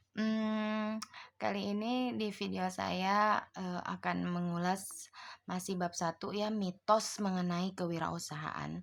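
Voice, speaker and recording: A woman at a very slow pace, medium in pitch with ordinary pitch variation. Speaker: online tutor. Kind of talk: online tutorial lecture. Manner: casual with many fillers.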